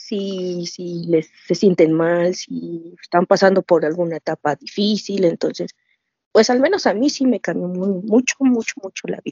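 A woman speaks with a Mexico City accent. Her pitch variation is ordinary. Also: medium pitch for a woman, fairly slow pace. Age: 40s. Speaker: nurse, fan group admin. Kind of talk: casual interview chat.

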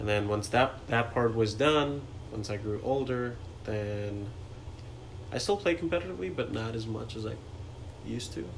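A man's fairly low voice at a moderate pace, ordinary pitch variation, long, frequent pauses, audible room echo and noticeable background noise. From India, New Delhi. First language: Hindi. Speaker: software engineer. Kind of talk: casual interview. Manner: laid back.

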